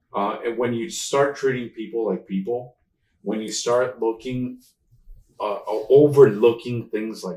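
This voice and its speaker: The speaker has a Spanish accent. The pitch varies in an ordinary way. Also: man. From Mexico, raised in Houston, Texas. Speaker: accessibility consultant. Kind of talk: casual interview chat.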